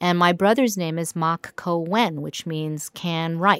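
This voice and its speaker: An unremarkable speaking voice from a woman with an American accent, fairly low in pitch, fairly slow, with ordinary pitch variation. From New York. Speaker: concert pianist and music teacher. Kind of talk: interview conversation. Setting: music school studio.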